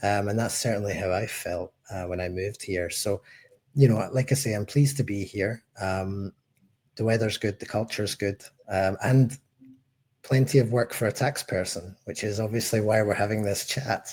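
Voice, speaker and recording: A man with a Scottish accent, fairly low in pitch and somewhat breathy, at a moderate pace with fairly even intonation. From Scotland, Glasgow. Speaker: head of tax at a tech company. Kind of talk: podcast interview.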